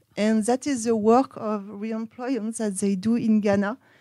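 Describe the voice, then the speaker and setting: A woman with a French accent speaks at a fairly slow pace in a fairly high pitch, her dark, mellow tone held to a monotone, flat intonation in a dry, close sound with no echo. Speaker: researcher. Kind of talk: conference presentation. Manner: halting.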